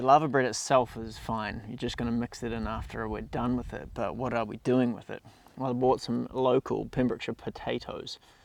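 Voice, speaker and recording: A man's medium-pitched voice with vocal fry, fairly even intonation, a fairly quick pace and hardly any pauses. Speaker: cooking travel vlogger. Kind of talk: casual vlog to camera. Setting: outdoors on the coast.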